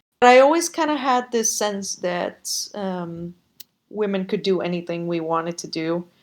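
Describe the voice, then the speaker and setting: A woman with a Spanish accent speaks fairly slowly in a medium pitch. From Costa Rica. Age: 30s. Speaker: podcast guest. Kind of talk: interview conversation. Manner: hesitant, many fillers.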